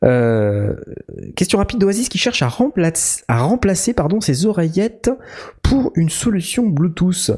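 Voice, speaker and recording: At a fairly slow pace, a man with a high pitch and a dark, mellow tone keeps a very even loudness while his pitch swings very widely. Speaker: podcast host. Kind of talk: casual chat. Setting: new empty studio.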